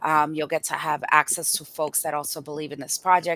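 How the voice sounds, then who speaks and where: A woman's very deep, low voice with a Spanish accent, flat and monotone in intonation, in a dry, close sound with no echo. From Boston and Dominican Republic. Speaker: community health organizer. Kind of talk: podcast interview. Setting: live stream.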